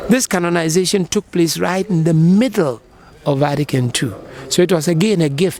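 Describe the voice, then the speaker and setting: A man's high-pitched voice at a moderate pace, with ordinary pitch variation and music in the background. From Ghana. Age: 60s. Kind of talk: interview answer.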